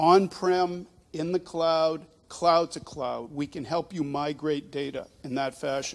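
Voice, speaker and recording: A man with a fairly high pitch talks at a fairly slow pace in a normal speaking voice. The recording is very clean, with a silent background. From Boston. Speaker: startup presenter. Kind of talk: pitch presentation.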